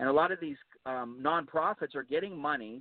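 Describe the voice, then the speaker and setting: A man with an American accent and an unremarkable speaking voice talks at a fairly quick pace, using a fairly high pitch with ordinary pitch variation. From Pittsburgh, Pennsylvania. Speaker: political candidate. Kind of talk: radio interview.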